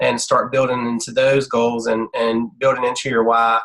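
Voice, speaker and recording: The man's voice has a bright, sharp tone. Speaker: health coach trainer. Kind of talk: online team training presentation. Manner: fast talker.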